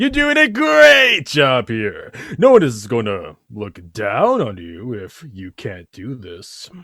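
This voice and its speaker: In a put-on character voice, a man speaks fairly slowly at a medium pitch on a very clean recording with a silent background. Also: big swings in loudness. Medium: audio drama. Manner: hesitant, filler-heavy, smarmy.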